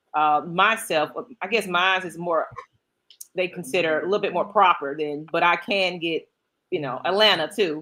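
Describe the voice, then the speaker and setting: In an American accent, a woman speaks with a fairly low pitch and a bright, sharp tone. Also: ordinary pitch variation, moderate pace. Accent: Southern accent, toned down. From Georgia, US South. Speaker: podcast co-host. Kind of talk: casual chat.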